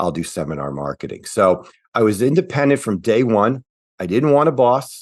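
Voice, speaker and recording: A man with a medium pitch talks fairly quickly, his voice swinging very widely in pitch. There is vocal fry in his voice, and the background is quiet. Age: 60s. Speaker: financial planner. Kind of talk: interview. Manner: casual, with fillers.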